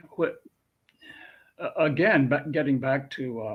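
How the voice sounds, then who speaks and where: A man speaks with a fairly high pitch and ordinary pitch variation, his voice somewhat breathy against a quiet background. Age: 70s. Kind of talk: conversational interview. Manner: halting, many fillers.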